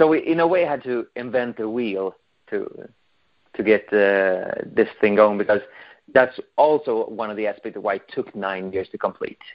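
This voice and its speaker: A man with a Swedish accent against a quiet background. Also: moderate pace. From Sweden. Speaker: fan film director. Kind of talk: interview. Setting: phone call. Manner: halting. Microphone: video call.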